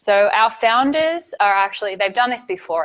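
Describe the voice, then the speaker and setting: A woman with a strong Australian accent speaks at a moderate pace, her pitch varying in an ordinary way. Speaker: site reliability engineer, conference speaker. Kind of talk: conference talk.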